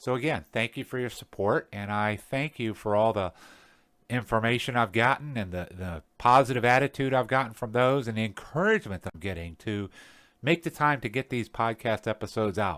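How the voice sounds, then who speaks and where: On a very clean recording with a silent background, a man speaks at a medium pitch. His pace is fairly quick, the pitch varies in an ordinary way, and the sound is dry and close with no echo. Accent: American. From US South. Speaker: podcast host, tradesman and apprenticeship instructor. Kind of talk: motivational podcast talk. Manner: casual, unscripted.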